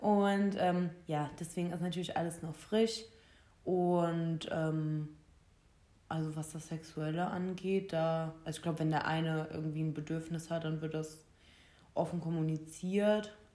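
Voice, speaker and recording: Speaking fairly slowly, a woman uses a flat, monotone intonation at a fairly low pitch. Her tone is dark and mellow, with audible room echo. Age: 20s. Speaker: podcast co-host. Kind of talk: casual chat.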